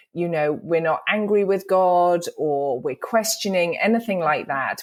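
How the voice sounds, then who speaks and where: A woman with a British accent is heard in a very clean recording with a silent background. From England, London. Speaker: author and speaker. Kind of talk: interview.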